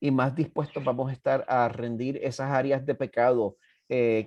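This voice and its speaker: Dry and close with no echo, a man speaks at a fairly slow pace with a Puerto Rican accent. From Puerto Rico. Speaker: pastor. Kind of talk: bible study teaching. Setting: church.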